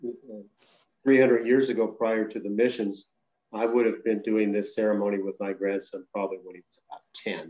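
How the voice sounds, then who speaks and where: A man with an American accent, a dark, mellow, fairly low voice, fairly even intonation and a moderate pace. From Southern California, San Fernando area. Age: 70s. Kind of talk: talk and Q&A. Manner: halting, many repetitions.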